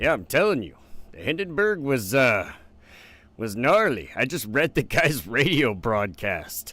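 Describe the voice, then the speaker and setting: A man's medium-pitched voice with vocal fry and very wide pitch swings, at a fairly slow pace, on a very clean recording with a silent background. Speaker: history streamer. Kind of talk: live stream reading history aloud. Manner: casual, swearing, animated reactions.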